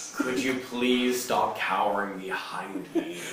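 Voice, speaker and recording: Putting on a character voice, a man speaks at medium pitch and a fairly slow pace, with a slight echo. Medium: actual play.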